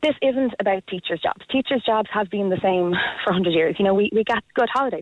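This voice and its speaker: This woman talks very fast in an Irish accent. Her pitch is medium, with ordinary variation. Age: 30s. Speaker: primary school teacher. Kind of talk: radio phone-in.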